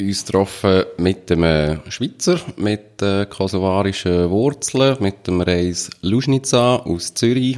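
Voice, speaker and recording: A man's fairly low voice at a very slow pace, with hardly any pauses. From Switzerland. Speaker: radio host. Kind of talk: scripted intro.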